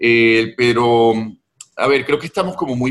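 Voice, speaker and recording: A man with a plain, everyday voice speaks at a fairly slow pace and medium pitch. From Venezuela, Caracas. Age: 50s. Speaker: novelist. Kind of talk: interview conversation.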